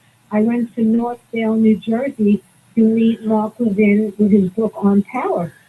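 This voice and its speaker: A woman with a Brooklyn accent, her fairly high, somewhat breathy voice dark and mellow in tone, at a fairly slow pace with fairly even intonation. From Brooklyn, New York. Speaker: caller. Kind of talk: call-in radio talk.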